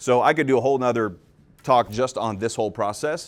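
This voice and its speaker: The man speaks with ordinary pitch variation. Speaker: real estate agent and podcast host. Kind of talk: live talk. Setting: stage with audience. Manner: fast; loud.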